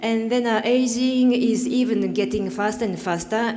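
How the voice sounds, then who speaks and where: Against noticeable background noise and audible room echo, a woman with a Japanese accent speaks with lively intonation. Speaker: panelist, development cooperation worker. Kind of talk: panel discussion remarks. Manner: halting, many fillers.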